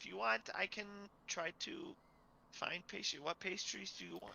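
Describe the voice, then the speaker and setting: Using a put-on character voice with a high pitch, a man speaks at a moderate pace over clear background noise. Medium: actual play. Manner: nervous, stammering, repeats all will be well.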